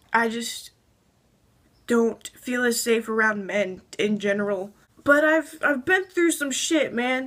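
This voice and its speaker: Her voice is shaky and high-pitched. The woman talks at a very slow pace with lively intonation. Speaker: transgender vlogger. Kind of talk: casual talk to camera. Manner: shaky, anxious.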